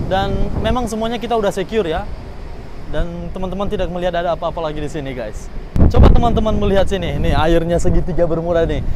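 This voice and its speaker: Over noticeable background noise and audible room echo, a man talks at a very fast pace. His pitch is high, with ordinary pitch variation. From North Sumatra, Indonesia. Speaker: vlogger, cruise ship crew member. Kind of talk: travel vlog. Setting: outdoors on cruise ship open deck. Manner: animated. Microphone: no microphone, may sound poor.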